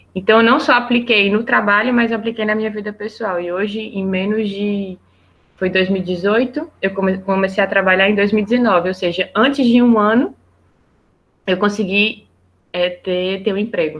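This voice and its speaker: Medium-pitched female speech at a moderate tempo, its pitch varying in an ordinary way. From Brazil. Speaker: project manager, biologist and environmental engineer. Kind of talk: interview. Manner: halting, with many repetitions.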